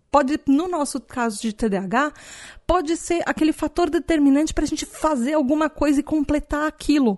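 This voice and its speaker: Against a quiet background, a woman speaks at a moderate pace with a high pitch. Her intonation is lively, and the sound is dry and close with no echo. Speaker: podcast host. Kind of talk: casual solo podcast talk.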